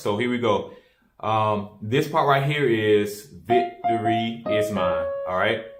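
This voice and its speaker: Audible room echo fills the space as a man speaks. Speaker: keyboard teacher. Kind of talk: tutorial. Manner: casual, many fillers.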